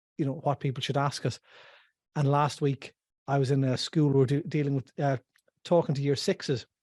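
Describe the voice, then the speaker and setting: A man with an Irish accent, fairly high-pitched and somewhat breathy, fairly quick yet with long, frequent pauses, fairly even intonation, quiet background. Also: dry, close sound with no echo. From west of Ireland. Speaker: financial planner. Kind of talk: casual chat.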